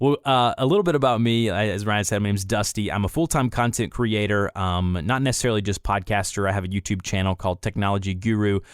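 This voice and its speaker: In a Southern US accent, a man with a fairly low pitch talks at a very fast pace with hardly any pauses, ordinary pitch variation and very even loudness, on a very clean recording with a silent background. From US South, Atlanta, Georgia. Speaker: content creator and voice actor. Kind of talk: casual chat.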